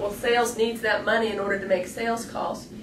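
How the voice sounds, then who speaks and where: Through noticeable background noise and audible room echo, a woman speaks in a fairly high pitch. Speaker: educator / staff trainer. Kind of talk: instructional video lecture. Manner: fast.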